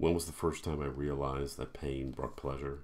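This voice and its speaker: A man's very deep, low voice at a moderate pace, in monotone, flat intonation. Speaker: horror author. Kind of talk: horror story reading; self-recorded author reading with casual intro. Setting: home recording. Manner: casual, self-deprecating, humorous intro. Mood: dark, measured narration. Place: home room. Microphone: webcam.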